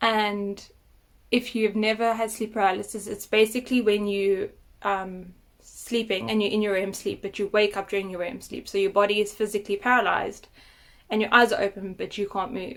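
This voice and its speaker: A fairly quick delivery with fairly even intonation on a very clean recording with a silent background. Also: woman, medium pitch for a woman. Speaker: vlogger sharing health story. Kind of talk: personal testimony vlog. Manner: halting, with fillers.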